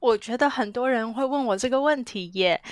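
A woman speaks at a fairly quick pace with lively intonation, the sound dry and close with no echo on a very clean recording with a silent background. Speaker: psychologist. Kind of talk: interview. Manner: animated.

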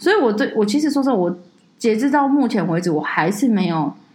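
Her voice is somewhat breathy, and this woman speaks with lively intonation. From Taiwan, Taipei. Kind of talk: casual chat.

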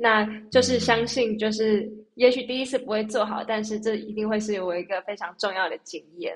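This woman speaks at a moderate pace. Her pitch is fairly high, and her intonation stays fairly even. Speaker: singer. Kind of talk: casual chat.

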